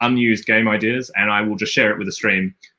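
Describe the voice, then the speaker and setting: A man with an Australian accent, medium pitch, ordinary pitch variation and a bright, sharp tone, in a dry, close sound with no echo. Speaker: game designer, stream host. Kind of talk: live stream chat. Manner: halting, many fillers and repetitions.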